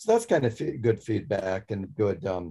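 Speaking with an American accent, a man has a fairly low pitch and a dark, mellow tone. He goes at a fairly quick pace and sounds somewhat breathy. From Montana. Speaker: magician. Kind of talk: interview. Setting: video call.

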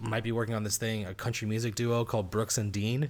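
In a very clean recording with a silent background, a man with an unremarkable speaking voice and medium pitch talks at a fairly quick pace. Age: 30s. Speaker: stand-up comedian. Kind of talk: casual chat.

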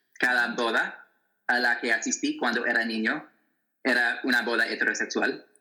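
In an American accent, the speaker keeps a moderate pace and very even loudness. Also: man. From US Midwest, Wichita, Kansas. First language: English (speaking Spanish). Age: 20s. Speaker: author and activist. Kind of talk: interview. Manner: halting, many fillers.

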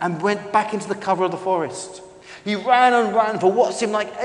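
The text is simply read aloud in a plain manner.

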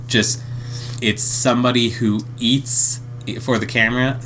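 Background music is audible. Against it, a man talks at a medium pitch. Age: 30s. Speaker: podcast co-host. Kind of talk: casual chat; summarizing plots. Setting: home recording with partner.

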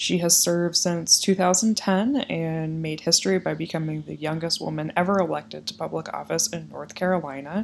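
In an American accent, a woman with a normal speaking voice talks at a moderate pace with hardly any pauses and a fairly low pitch. Her loudness swings widely, while her pitch variation is ordinary. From Iowa. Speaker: podcast host. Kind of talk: interview; scripted introduction.

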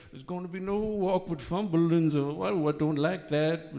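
A man talks at a moderate pace. He has an Irish Midlands accent. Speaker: comedian. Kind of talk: stand-up. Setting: stage with audience.

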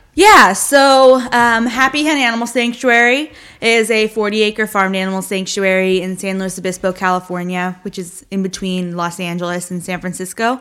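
A woman with a plain, everyday voice talks at medium pitch and a moderate pace with ordinary pitch variation and hardly any pauses. The recording is very clean, with a silent background. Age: young. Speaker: animal sanctuary founder. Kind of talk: casual chat.

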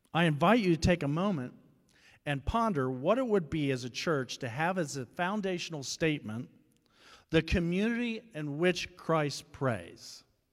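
A man speaks at a moderate pace in a plain, everyday voice, pitched fairly high with lively intonation. The recording is very clean, with a silent background. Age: 50s. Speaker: guest preacher. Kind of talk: sermon.

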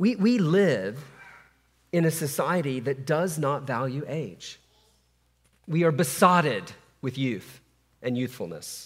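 Speaking at a very slow pace with long, frequent pauses, a man with a fairly high pitch uses lively intonation and vocal fry. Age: 50s. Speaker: pastor. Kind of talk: sermon. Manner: halting.

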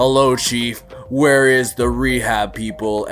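A man uses a put-on character voice at a medium pitch and a fairly slow pace. Music is clearly heard in the background. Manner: robotic.

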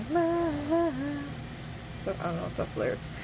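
A woman's playful voice over noticeable background noise. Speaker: podcast co-host. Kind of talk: casual chat. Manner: laughs often, playful.

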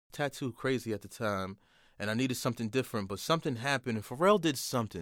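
A man speaks at a fairly quick pace in a New York accent, his intonation lively. The recording is very clean, with a silent background. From New York, Port Chester and Manhattan. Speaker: author and designer. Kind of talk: casual chat.

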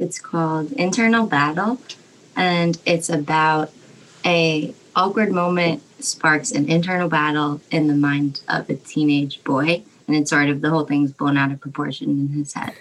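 Moving at a moderate pace, a woman speaks in a very deep, low voice with ordinary pitch variation. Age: 20s. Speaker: art student. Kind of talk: casual chat.

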